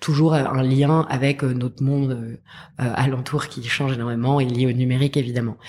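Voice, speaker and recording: Woman's voice, very deep and low, monotone and flat, at a moderate pace. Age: 30s. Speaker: education startup co-founder. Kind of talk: interview. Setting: at her school's premises.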